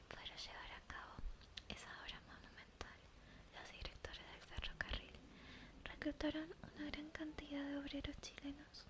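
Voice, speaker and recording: A woman whispers at a moderate pace, with noticeable background noise behind her. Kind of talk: ASMR story reading for sleep. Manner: soft-spoken, whispered.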